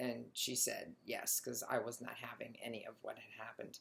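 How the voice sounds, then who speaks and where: A woman's voice with vocal fry, at a moderate pace. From Italian-American. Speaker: dog groomer and shop owner. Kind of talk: casual personal story vlog. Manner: loud; hesitant, many fillers.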